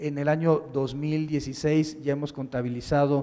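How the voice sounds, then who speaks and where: Here is a man with a fairly high pitch. He speaks at a moderate pace. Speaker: public prosecutor. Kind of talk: keynote lecture. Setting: conference with audience. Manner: monotone; halting.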